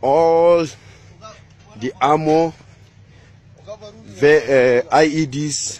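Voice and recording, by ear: Speaking at a very slow pace, a man uses a fairly high pitch, a slightly mellow tone, and fairly even intonation.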